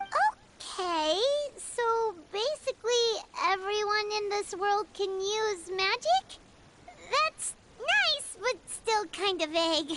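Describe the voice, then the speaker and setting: A put-on character voice at an extremely high pitch, delivered at a very slow pace. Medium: video game. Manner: chirpy, eager.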